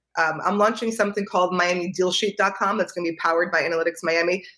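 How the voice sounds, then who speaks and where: In a New York accent, a woman speaks at a medium pitch with ordinary pitch variation. Her tone is bright and sharp. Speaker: real estate analyst. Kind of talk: interview. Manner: fast.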